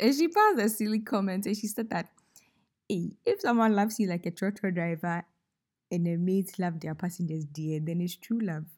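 Spoken at a moderate pace with a Ghanaian accent, the voice has a warm, playful tone and ordinary pitch variation, captured in a very clean recording with a silent background. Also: woman. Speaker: podcast host. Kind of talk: casual, faith-based reflection. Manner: storytelling, warm, playful.

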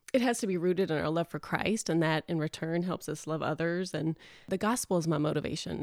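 A woman with a Texan accent and fairly low pitch speaks at a moderate pace. Her pitch varies in an ordinary way on a very clean recording with a silent background. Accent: Texan, noticeable. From Texas. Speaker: preschool teacher. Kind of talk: podcast interview.

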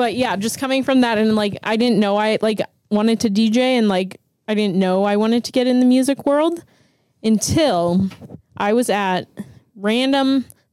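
In a Pittsburgh accent, a woman speaks at a moderate pace and fairly high pitch, with ordinary pitch variation and very even loudness. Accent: Pittsburgh American. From Pittsburgh, Pennsylvania. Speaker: DJ. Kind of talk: casual chat.

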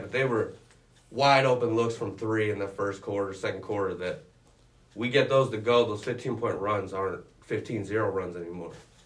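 The man's voice sounds somewhat breathy. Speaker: student sports reporter. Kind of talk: casual sports chat.

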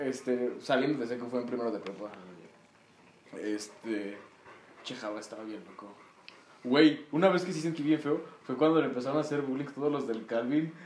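A man talks at medium pitch and moderate pace, with ordinary pitch variation and big swings in loudness. Long, frequent pauses break his speech, and there is audible room echo. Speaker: guest. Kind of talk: casual chat.

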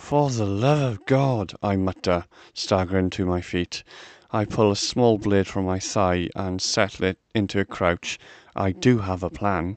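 An ordinary speaking voice from a man, fairly low in pitch with ordinary pitch variation, at a fairly slow pace in a quiet background. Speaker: podcast host reading stories aloud. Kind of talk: dramatic narration of a fantasy story, read aloud. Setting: studio, recorded podcast. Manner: tense, vivid, expressive storytelling.

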